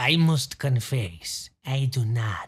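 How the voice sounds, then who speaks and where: Putting on a character voice, a man speaks at a medium pitch. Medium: read story. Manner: formal, deferential.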